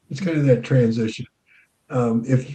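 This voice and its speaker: A man speaks at a medium pitch with ordinary pitch variation. His tone is dark and mellow and somewhat breathy. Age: 60s. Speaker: counselor and author. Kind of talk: interview.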